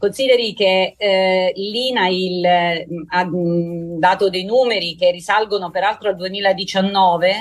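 Speaking with an unremarkable speaking voice, a woman holds a medium pitch at a fairly slow pace with fairly even intonation. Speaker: emergency doctor. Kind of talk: radio interview.

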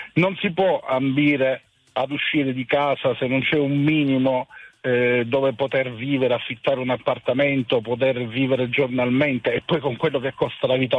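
A man has a plain, everyday voice, pitched at medium. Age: 50s. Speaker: hotel industry worker, radio caller. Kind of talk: call-in opinion.

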